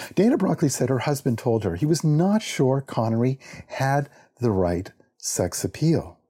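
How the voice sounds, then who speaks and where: A man with a dark, mellow, somewhat breathy tone talks at medium pitch and a moderate pace, his pitch swinging very widely. His loudness stays very even, and the recording is very clean with a silent background. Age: 50s. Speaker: librarian. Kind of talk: prepared talk.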